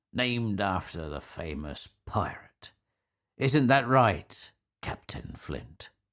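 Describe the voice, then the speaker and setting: A man does a put-on character voice at a fairly low pitch, with very wide pitch swings and a very slow pace. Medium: read story. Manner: friendly, cheerful.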